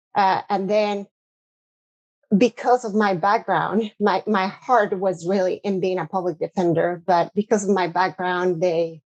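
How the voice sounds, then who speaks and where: A woman with a Spanish accent speaks fairly slowly at a medium pitch with fairly even intonation, the sound dry and close with no echo. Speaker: corporate lawyer, cybercrime specialist. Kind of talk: podcast interview.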